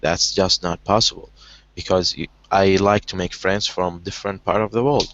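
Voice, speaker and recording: A man with an Arabic accent, fairly low pitch, fairly even intonation and a moderate pace. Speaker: online language session host. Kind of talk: casual conversation practice. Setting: video call. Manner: halting, many repetitions.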